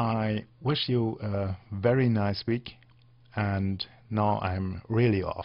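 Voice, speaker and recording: A man with a non-native accent speaks at a very slow pace, with a fairly low pitch and fairly even intonation. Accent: non-native English speaker. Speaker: software tutorial podcaster. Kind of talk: tutorial. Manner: halting, many fillers.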